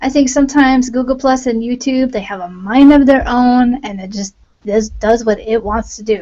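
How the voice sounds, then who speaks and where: A soft-spoken woman's high voice with ordinary pitch variation. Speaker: online Bible teacher. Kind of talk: devotional talk on a livestream. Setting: live video hangout. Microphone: volume turned up, voice may be quiet.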